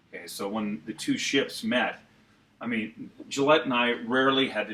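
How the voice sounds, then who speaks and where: A man speaks with an American accent and ordinary pitch variation. Noticeable background noise runs under his voice. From Santa Clara, California. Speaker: former morning radio host. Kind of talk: radio-industry interview answer. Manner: fast, hyper, passionate, energetic.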